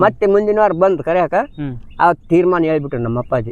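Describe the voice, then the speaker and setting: This is a man with a high-pitched voice. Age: old. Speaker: farmer. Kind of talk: interview answer, life story. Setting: outdoors.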